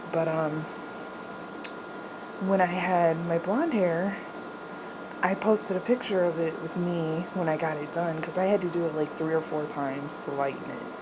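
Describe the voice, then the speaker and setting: Amid noticeable background noise and audible room echo, a woman with a fairly low pitch speaks at a moderate pace with fairly even intonation and long, frequent pauses. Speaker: video blogger. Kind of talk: casual chat. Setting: bedroom at home. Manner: quiet, not projecting.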